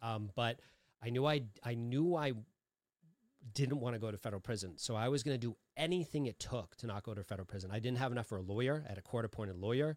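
Very fast pace with an American accent, ordinary pitch variation, and a dry, close sound with no echo. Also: man, medium pitch for a man. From Massachusetts, Lowell. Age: 40s. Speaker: recovery podcaster and author. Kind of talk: casual chat.

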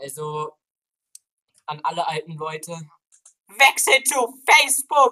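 Raised and projected, a man's extremely high-pitched voice has a bright, sharp tone and very wide pitch swings. He speaks at a very slow pace with long, frequent pauses, in a dry, close sound with no echo. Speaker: podcast host. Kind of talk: casual chat.

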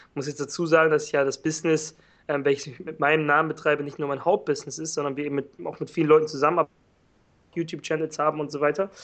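Speaking at a very fast pace, a man holds a fairly high pitch and a monotone, flat intonation. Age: 20s. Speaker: online entrepreneur. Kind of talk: interview.

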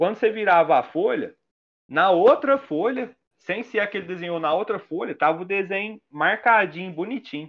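A man speaks at a moderate pace. His voice is high-pitched. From Minas Gerais, Brazil. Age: 30s. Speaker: illustrator and graffiti artist. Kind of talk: casual chat.

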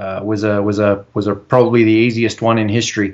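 Against a quiet background, someone speaks at a fairly slow pace in an Australian accent. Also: man. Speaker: civil engineer and bitcoin advocate. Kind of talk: interview.

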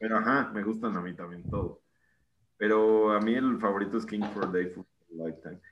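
A man with a Mexican accent speaks with fairly even intonation against a quiet background. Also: fairly low pitch for a man, moderate pace. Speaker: podcast co-host. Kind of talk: casual chat.

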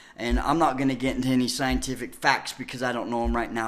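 A very fast, animated man's voice at medium pitch, with vocal fry. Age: 40s. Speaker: guest. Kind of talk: casual chat about spirituality. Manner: fast talker, animated; halting, filler words.

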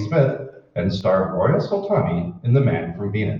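His pitch rises and falls across a very wide range. The speaker is a man. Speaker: radio announcer. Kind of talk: radio announcer reading intro, ads and public-service spots. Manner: crisp, polished, formal announcer delivery.

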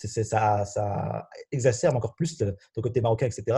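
A somewhat breathy man at a medium pitch, dark and mellow in tone, over a quiet background. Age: 20s. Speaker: university student. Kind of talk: casual chat.

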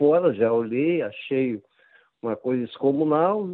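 This is a man with a normal speaking voice. He talks at a fairly slow pace. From Brazil. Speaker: football writer and author. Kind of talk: interview.

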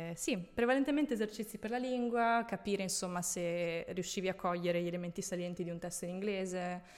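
A woman talks at a very fast pace with hardly any pauses. Her medium pitch shows ordinary variation. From central/northern Italy (Tuscany, Veneto). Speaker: former flight attendant. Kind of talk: casual interview.

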